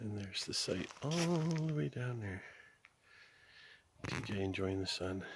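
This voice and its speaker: Amid audible room echo, a man with a fairly low pitch speaks at a fairly slow pace, using very wide pitch swings and long, frequent pauses. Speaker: camping vlogger. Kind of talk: casual vlog narration. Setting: outdoors at a campsite.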